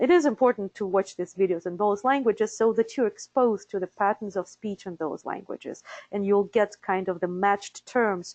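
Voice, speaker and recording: Someone with a Russian accent speaks at a moderate pace with hardly any pauses and ordinary pitch variation, in a dry, close sound with no echo and a quiet background. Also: woman, medium pitch for a woman. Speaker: interpreter certification director. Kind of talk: webinar presentation. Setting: live webinar. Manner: hesitant with fillers.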